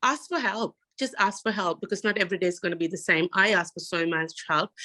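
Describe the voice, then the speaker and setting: Speaking very fast with a non-native accent, a woman has a bright, sharp tone at medium pitch with ordinary pitch variation, in a dry, close sound with no echo. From Sri Lanka. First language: not English. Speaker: university student panelist. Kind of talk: panel discussion.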